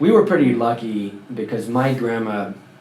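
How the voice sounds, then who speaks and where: A man talks at medium pitch with ordinary pitch variation. Audible room echo and noticeable background noise are present. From France. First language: French. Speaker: former Scientologist. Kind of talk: interview.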